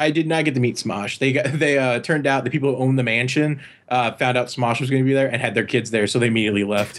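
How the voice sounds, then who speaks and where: A man talks at a very fast pace with hardly any pauses, in a medium pitch. His intonation is fairly even and his loudness very even. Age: 20s. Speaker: animator. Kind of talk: casual chat.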